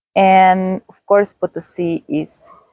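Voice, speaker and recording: A woman speaks with a Spanish accent at a fairly low pitch. The sound is dry and close with no echo. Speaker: travel vlogger. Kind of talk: vlog narration. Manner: halting, with fillers.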